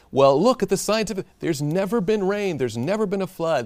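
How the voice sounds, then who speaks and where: Music plays behind a man's voice. His pitch swings across a very wide range. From Tennessee. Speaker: pastor and Bible study host. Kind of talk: Bible study discussion.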